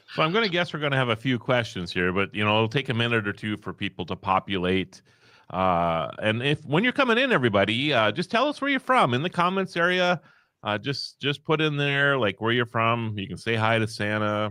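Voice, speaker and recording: With a slight Upper Midwest accent, a man speaks at a medium pitch in a bright, sharp tone with lively intonation, on a very clean recording with a silent background. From North Dakota. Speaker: live stream host. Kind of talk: casual chat.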